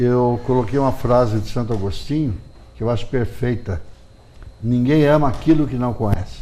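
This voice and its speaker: A man with a dark, mellow tone, medium pitch and ordinary pitch variation at a moderate pace, with audible room echo. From Brazil, Piracicaba (São Paulo interior). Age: 70s. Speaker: journalist and writer. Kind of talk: TV interview.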